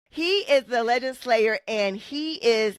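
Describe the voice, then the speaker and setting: A woman speaks in an animated tone at fairly high pitch. The sound is dry and close, with no echo. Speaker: podcast host. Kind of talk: casual chat.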